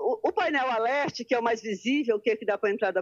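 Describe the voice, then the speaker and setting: A woman's high-pitched voice in a dry, close sound with no echo. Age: old. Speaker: journalist and newsstand owner. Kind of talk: interview. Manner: halting, many repetitions; calm.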